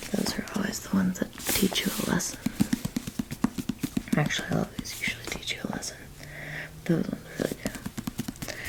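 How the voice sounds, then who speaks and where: Someone whispers in a calm tone over noticeable background noise. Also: woman. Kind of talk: soft-spoken ASMR reading. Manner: soft-spoken, calm.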